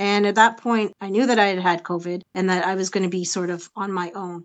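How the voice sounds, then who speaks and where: A woman with a Canadian accent and a plain, everyday voice speaks at a fairly quick pace with ordinary pitch variation. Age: 50s. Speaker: patient advocate, support group founder. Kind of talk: interview testimony.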